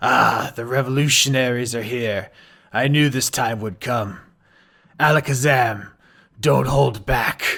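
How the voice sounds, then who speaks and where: A man in a put-on character voice speaks at a fairly slow pace with a raspy, medium-pitched sound, fairly even intonation, and long, frequent pauses. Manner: resigned, ominous.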